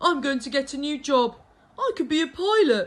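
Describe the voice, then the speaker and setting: A high-pitched, put-on character voice does the talking. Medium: read story.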